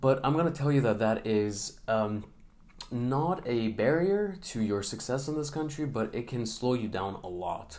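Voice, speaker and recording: Amid audible room echo, a man of medium pitch talks at a fairly slow pace with lively intonation. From Middle East. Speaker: vlogger. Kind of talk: unscripted vlog advice. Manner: hesitant, many fillers.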